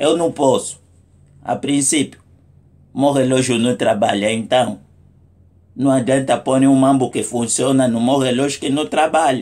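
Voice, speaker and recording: Speaking at a medium pitch, a man moves at a fairly slow pace with long, frequent pauses. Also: fairly even intonation. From Angola. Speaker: comedic vlogger. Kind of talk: comic monologue. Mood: humorous, mock indignant. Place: home room. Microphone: phone near.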